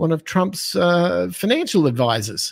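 The speaker has an Australian accent and very wide pitch swings. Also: man. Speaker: business owner and financial educator. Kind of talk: casual interview. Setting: video call, live stream.

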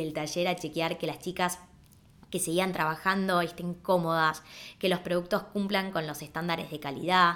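Fairly low in pitch, a woman speaks with a bright, sharp tone and fairly even intonation at a moderate pace. The recording is very clean, with a silent background. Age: 30s. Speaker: podcast host and entrepreneur. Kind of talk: personal storytelling monologue.

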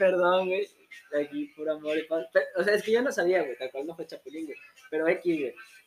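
At a fairly quick pace, a man with a high voice speaks with ordinary pitch variation. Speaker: podcast host. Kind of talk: casual chat.

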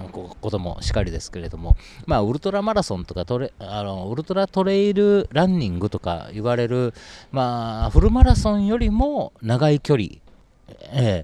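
Speaking at a moderate pace, a man with a medium pitch and a dark, mellow tone makes very wide pitch swings and big swings in loudness. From Japan, Osaka. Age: 40s. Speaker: vegan food brand owner. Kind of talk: interview conversation. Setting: outdoors in a park. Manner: distinctive rhythmic speech.

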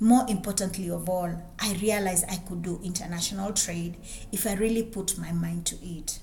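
Over noticeable background noise, a woman with a Kenyan accent talks at a moderate pace with fairly even intonation. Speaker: businesswoman and podcaster. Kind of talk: personal storytelling monologue.

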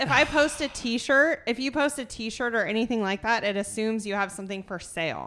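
Loud and high-pitched, a woman talks at a fairly quick pace with lively intonation and hardly any pauses. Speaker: podcast host and gym coach. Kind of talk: casual chat. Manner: loud, talkative.

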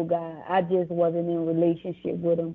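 With a New Orleans accent, a woman speaks at a moderate pace. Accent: New Orleans Southern American. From US South, New Orleans, Louisiana. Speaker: author and business owner. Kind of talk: testimony.

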